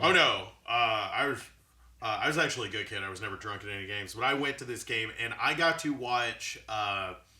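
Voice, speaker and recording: Audible room echo and noticeable background noise surround a man talking at a fairly quick pace with an American accent. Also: medium pitch for a man, ordinary pitch variation. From Chattanooga, Tennessee, US South. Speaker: podcast guest. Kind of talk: casual chat.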